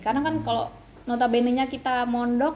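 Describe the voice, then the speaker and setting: Her voice as a woman sits at a high pitch. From Kalimantan, Indonesia. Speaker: university student. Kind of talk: casual interview. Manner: hesitant, many fillers.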